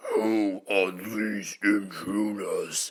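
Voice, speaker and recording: A put-on character voice growls along at a low pitch. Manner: snarling.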